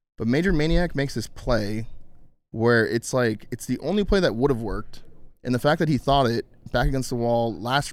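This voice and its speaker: This man has an unremarkable speaking voice at a medium pitch. He talks at a moderate pace with ordinary pitch variation. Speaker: esports pro player. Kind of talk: casual chat. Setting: studio.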